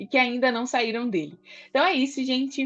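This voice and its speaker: A woman's fairly high voice comes through. Music can be heard behind her. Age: 20s. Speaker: podcast host. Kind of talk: podcast interview.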